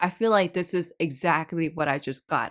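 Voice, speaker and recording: A woman's animated tone with ordinary pitch variation, on a very clean recording with a silent background. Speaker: K-pop reaction youtuber, retired dancer. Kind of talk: casual reaction video. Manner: stuttering when excited.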